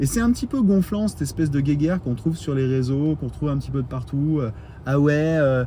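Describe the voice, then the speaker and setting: The man's tone is animated. He talks fairly quickly. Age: 40s. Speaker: electric car YouTuber. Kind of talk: casual vlog monologue. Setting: outdoors in parking lot at charger. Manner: animated, hesitant with many fillers.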